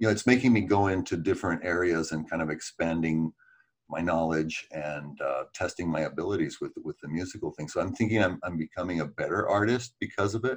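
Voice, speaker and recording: Fairly quick in pace, a man speaks with a very deep, low pitch. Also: ordinary pitch variation. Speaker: musician. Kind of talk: podcast interview, casual chat.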